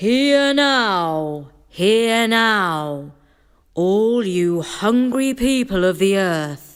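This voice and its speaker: In a put-on character voice, someone bellows loudly at a fairly high pitch and a very slow pace. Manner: loud, bellowing proclamation.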